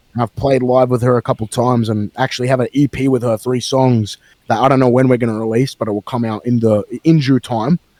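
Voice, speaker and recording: A man's dark, mellow, medium-pitched voice in an Australian accent, very fast and monotone, flat, with a dry, close sound and no echo. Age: 20s. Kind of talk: casual chat.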